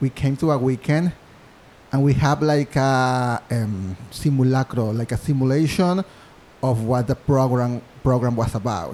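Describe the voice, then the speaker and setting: A man with a Mexican accent talks at a fairly slow pace and a medium pitch. His pitch varies in an ordinary way, and his loudness stays very even. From Mexico, Monterrey. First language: Spanish. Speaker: musical theater composer. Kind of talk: interview. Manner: halting.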